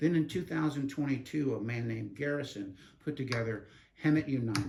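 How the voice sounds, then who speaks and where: A man talks at a fairly quick pace in a medium pitch. His voice is somewhat breathy, with ordinary pitch variation. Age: 70s. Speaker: community advocate. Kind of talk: interview.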